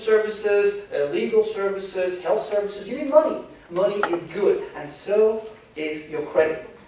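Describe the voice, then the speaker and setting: A man with a high pitch speaks with lively intonation. Noticeable background noise and audible room echo are present. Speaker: financial educator. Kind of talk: lecture. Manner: fast; animated.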